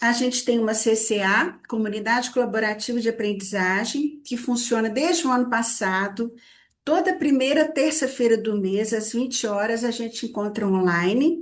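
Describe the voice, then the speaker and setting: A woman speaks with a Minas Gerais accent. Her pitch is fairly high, with ordinary variation. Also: moderate pace. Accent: Minas Gerais (mineiro). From Minas Gerais, Brazil. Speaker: psychology institute director, therapist trainer. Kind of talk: online study group presentation. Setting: video call / live stream. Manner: hesitant repetitions.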